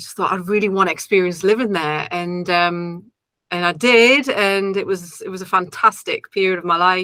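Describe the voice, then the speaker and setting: At a moderate pace, a woman with a slight Geordie accent speaks in a bright, sharp tone at a medium pitch, with fairly even intonation and big swings in loudness. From northern England, Newcastle. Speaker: singer-songwriter. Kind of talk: interview. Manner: hesitant, many fillers.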